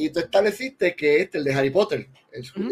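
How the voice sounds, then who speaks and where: A man with a Puerto Rican accent speaks at a high pitch with lively intonation, the sound dry and close with no echo. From Puerto Rico. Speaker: film director. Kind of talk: casual chat.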